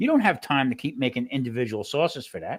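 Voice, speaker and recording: In a very clean recording with a silent background, a man's speech moves at a fairly quick pace. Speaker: home cooking channel host, former restaurant cook. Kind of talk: casual chat. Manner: fast.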